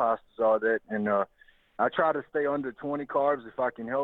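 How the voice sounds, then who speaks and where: Speaking with a Louisiana accent, a man keeps a moderate pace and fairly even intonation. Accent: Southern US, Louisiana. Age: 30s. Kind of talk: casual interview.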